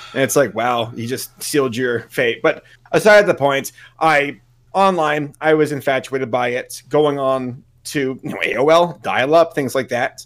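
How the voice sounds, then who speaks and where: A man with a plain, everyday voice, fairly high in pitch, with ordinary pitch variation and a fairly slow pace. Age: 30s. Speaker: YouTube content creator. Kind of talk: casual interview chat.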